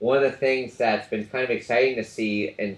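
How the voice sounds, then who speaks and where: This man is talking. The rise and fall of his voice is fairly even. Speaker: professor. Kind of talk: lecture. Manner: fast.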